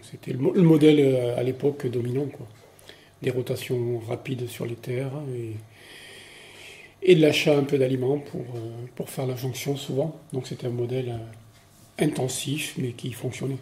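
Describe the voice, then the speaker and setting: Against noticeable background noise, a man at a medium pitch talks at a fairly slow pace with fairly even intonation and long, frequent pauses. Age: 60s. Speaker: retired farmer. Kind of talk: interview. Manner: hesitant, many filler words.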